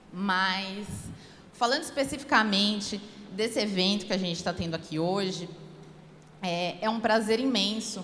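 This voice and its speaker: Someone speaks at a fairly slow pace with long, frequent pauses and ordinary pitch variation, amid audible room echo. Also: woman, medium pitch for a woman. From São Paulo, Brazil. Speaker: public defender. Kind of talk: speech at a law event.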